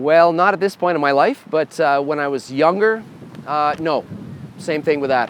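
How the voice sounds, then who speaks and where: Noticeable background noise sits behind a man with a Canadian accent who talks at a moderate pace in a fairly high pitch. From Canada. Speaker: metal guitarist and band leader. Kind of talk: answering fan questions. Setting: bar.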